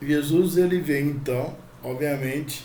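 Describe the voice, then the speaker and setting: A man's fairly high, dark and mellow voice at a very slow pace, with audible room echo. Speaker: spiritist channel host. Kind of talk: religious teaching talk. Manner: halting, many fillers; soft-spoken.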